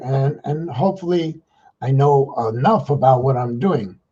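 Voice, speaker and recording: The man's voice is fairly high, somewhat breathy and dark and mellow in tone, moving at a moderate pace. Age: 60s. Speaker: livestream vlogger, retired street worker. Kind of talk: casual livestream talk to viewers. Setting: livestream simulcast on Facebook and YouTube. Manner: halting, many fillers and repeats.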